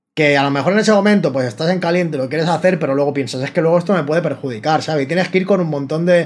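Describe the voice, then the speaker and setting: He speaks in a fairly high pitch. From Spain, Barcelona. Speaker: rapper and freestyler. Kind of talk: casual chat.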